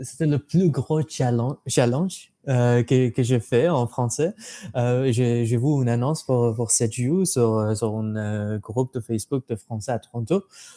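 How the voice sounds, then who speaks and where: A man speaks very slowly at a medium pitch, with ordinary pitch variation. His tone is dark and mellow, and the sound is dry and close with no echo. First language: not French (learner) (speaking French). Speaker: language learner, exam candidate. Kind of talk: interview. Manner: halting, many hesitations and repeats.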